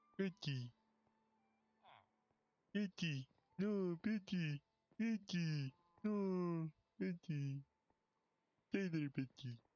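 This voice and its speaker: Using a put-on character voice, a man speaks very slowly in a high pitch. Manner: silly, dumb.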